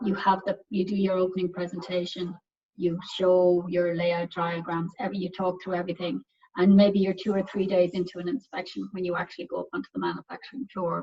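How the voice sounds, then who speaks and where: A woman speaks at a fairly quick pace and medium pitch, her intonation fairly even. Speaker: pharmaceutical quality assurance director. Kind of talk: technical presentation. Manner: fast; halting, many fillers and repeats.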